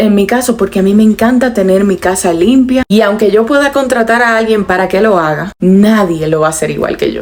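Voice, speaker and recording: Against noticeable background noise, a woman talks at a fairly quick pace in a medium pitch with ordinary pitch variation. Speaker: lifestyle vlogger. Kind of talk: personal advice monologue. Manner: moderated, calm tone.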